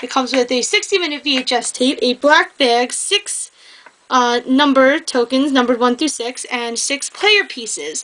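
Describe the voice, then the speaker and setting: A woman with a high-pitched voice talks with lively intonation over noticeable background noise. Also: moderate pace. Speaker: board game reviewer. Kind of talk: casual review talk to camera. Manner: hesitant, some stuttering.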